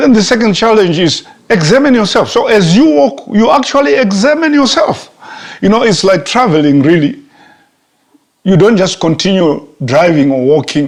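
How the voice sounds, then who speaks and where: A high-pitched man at a moderate pace, with very wide pitch swings, very even loudness and audible room echo. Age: 60s. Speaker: pastor. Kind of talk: sermon. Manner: halting, with fillers.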